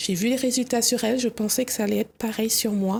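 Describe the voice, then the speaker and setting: Moderately paced and monotone, a woman speaks in a fairly high pitch with a dark, mellow tone and flat intonation. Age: 30s. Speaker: guest sharing personal experience. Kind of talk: testimony.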